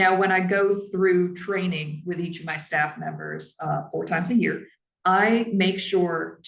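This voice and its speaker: There is vocal fry in this woman's fairly low voice, and her intonation stays fairly even. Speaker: library staff trainer. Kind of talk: professional training talk.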